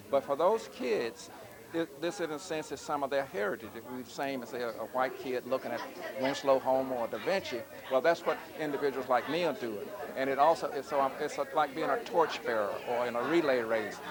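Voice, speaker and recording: Over crowd noise in the background, a man with an American accent speaks at a fairly quick pace, his fairly high pitch showing ordinary variation. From US South, Georgia. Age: 70s. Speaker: visual artist. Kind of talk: interview.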